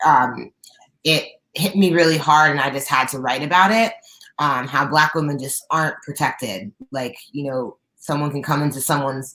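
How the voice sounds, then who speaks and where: In an American accent, a woman with a raspy, very deep, low voice talks at a moderate pace with ordinary pitch variation. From central Pennsylvania. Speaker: R&B singer. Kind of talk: interview.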